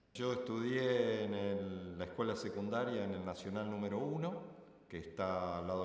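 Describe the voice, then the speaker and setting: A man talks at a moderate pace with a fairly low pitch. Audible room echo surrounds his voice. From Argentina, Rosario. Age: 60s. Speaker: retired student interviewee. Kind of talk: interview testimony.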